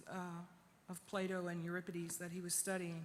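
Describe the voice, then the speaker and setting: Audible echo fills the room. The pace is moderate. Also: woman. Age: 60s. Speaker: poet and activist. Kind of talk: conference speech.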